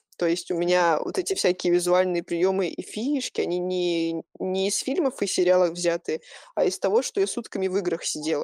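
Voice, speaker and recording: Very clean and silent in the background, the recording is dry and close with no echo. A woman speaks at a moderate pace with a medium pitch and a dark, mellow tone. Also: ordinary pitch variation. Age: 20s. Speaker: photographer. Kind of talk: interview. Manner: casual.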